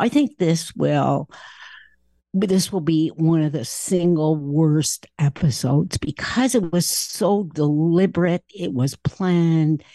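A woman's fairly low voice at a very slow pace, with ordinary pitch variation and a dry, close sound with no echo. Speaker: Middle East analyst and university professor. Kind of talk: expert interview.

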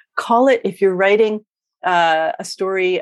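A woman with an ordinary speaking voice talks at a fairly slow pace with ordinary pitch variation, her sound dry and close with no echo. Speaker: romance author and writing coach. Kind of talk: casual interview chat.

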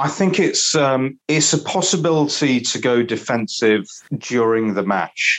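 A man speaks with a northern English accent at a fairly slow pace. His intonation is lively and his loudness stays very even. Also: medium pitch for a man. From northern England. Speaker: cricket pundit. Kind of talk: casual chat.

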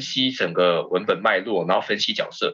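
This man has a Taiwanese accent. He speaks at a moderate pace. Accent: Taiwanese Mandarin. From Taiwan, Keelung. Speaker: stage actor and theatre company director. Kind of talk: casual chat.

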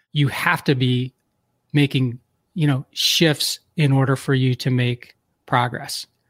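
The man speaks at a very slow pace with fairly even intonation. The sound is dry and close, with no echo. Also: medium pitch for a man. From US Northeast, Philadelphia. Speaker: entrepreneur and podcast host. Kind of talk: interview.

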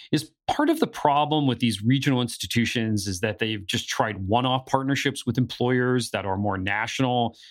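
A man with an American accent speaks in a plain, everyday voice at a moderate pace, his medium pitch showing ordinary variation, on a very clean recording with a silent background. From northeastern Pennsylvania. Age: 40s. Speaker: podcast co-host on higher education. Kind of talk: podcast discussion with scripted segments.

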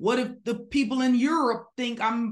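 Somewhat breathy and animated in tone, a woman speaks at a fairly slow pace. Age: 30s. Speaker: business coach. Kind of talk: interview.

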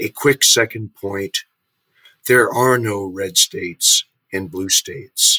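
On a very clean recording with a silent background, a man speaks at a very slow pace, the sound dry and close with no echo. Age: 70s. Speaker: policy scholar and commentator. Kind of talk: political roundtable discussion. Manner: formal.

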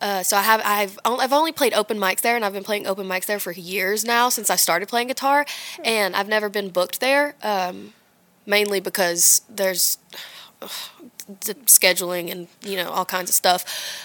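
With a Southern US accent, a woman speaks at a moderate pace in a bright, sharp tone, her medium pitch showing ordinary pitch variation. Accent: Southern US, country. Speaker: singer-songwriter. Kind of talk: casual interview chat. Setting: studio. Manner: quiet, soft-spoken.

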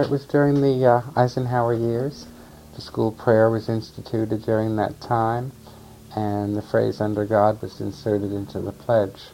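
A man of medium pitch talks at a moderate pace in an unremarkable speaking voice. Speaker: activist interviewee recounting life history. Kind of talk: interview recollection, conversational.

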